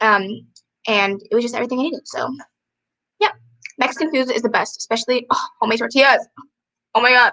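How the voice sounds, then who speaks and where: Her voice is high-pitched, with a bright, sharp tone. The woman talks at a very fast pace, broken by long, frequent pauses. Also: ordinary pitch variation. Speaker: booktuber livestream host. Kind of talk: casual livestream chat. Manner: eating while talking.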